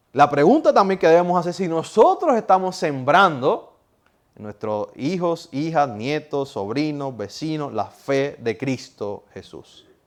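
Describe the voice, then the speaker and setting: This man talks at a fairly slow pace with fairly high pitch and very wide pitch swings. His loudness swings a lot. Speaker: pastor / preacher. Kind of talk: sermon.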